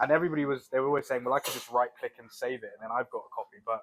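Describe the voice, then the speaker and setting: A man with a British accent, at a very fast pace. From UK. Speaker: crypto trader. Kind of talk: podcast interview. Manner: casual.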